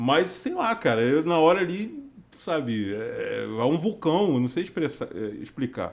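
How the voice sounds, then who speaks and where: A fairly slow, fairly high-pitched male voice. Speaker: worship leader. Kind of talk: casual chat. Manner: hesitant, many fillers.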